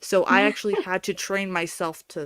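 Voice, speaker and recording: In a very clean recording with a silent background and a dry, close sound with no echo, a woman with an unremarkable speaking voice talks at medium pitch with ordinary pitch variation. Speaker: livestream co-host.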